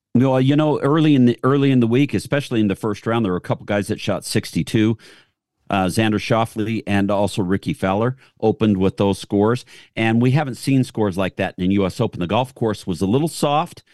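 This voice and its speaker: A plain, everyday voice: a man at a fairly quick pace, medium pitch and ordinary pitch variation. The sound is dry and close with no echo, over a quiet background. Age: 60s. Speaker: golf radio co-host, son of a golf champion. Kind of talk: radio talk show.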